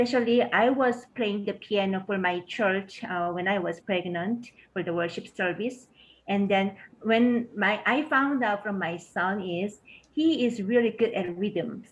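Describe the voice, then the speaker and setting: A woman's medium-pitched voice with a Korean accent, fairly slow pace and ordinary pitch variation. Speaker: education researcher. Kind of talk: panel Q&A. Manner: hesitant, many fillers.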